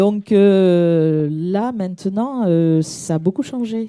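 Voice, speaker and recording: A woman with a dark, mellow tone speaks with lively intonation. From southern France (Midi). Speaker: audience member asking a question. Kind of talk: audience question at a conference. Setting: conference hall, audience microphone. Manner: hesitant, many fillers.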